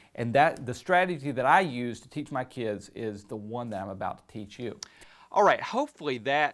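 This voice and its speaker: A man speaks with a Southern US accent at a medium pitch. His intonation is lively and his pace moderate. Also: very clean recording, silent background. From US South. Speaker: concert pianist and piano teacher. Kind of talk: tutorial. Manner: casual, with frequent fillers.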